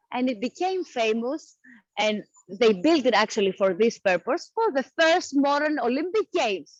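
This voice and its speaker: A woman with a Greek accent, high in pitch with very wide pitch swings, at a fairly slow pace, in a dry, close sound with no echo. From Athens, Greece. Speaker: tour guide. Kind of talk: live virtual walking tour narration. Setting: outdoors.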